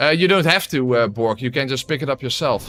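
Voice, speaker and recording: A man speaks at a fairly quick pace with a Dutch accent, his medium-pitched voice showing ordinary pitch variation, as music plays in the background. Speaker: gaming streamer. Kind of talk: live gameplay commentary. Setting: live stream. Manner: casual, hesitant with many fillers.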